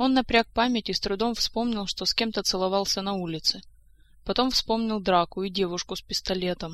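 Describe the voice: The voice reads plainly aloud with ordinary pitch variation.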